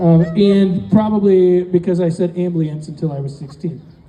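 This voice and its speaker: Through noticeable background noise, a man speaks with a high pitch and fairly even intonation. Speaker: comedian. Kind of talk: stand-up. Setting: stage with audience. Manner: talkative.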